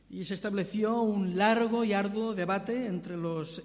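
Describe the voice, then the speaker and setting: In a strong Catalan accent, a man speaks with a high pitch and ordinary pitch variation, his voice carrying audible room echo. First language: Catalan (speaking Spanish). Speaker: visiting preacher. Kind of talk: sermon. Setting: church.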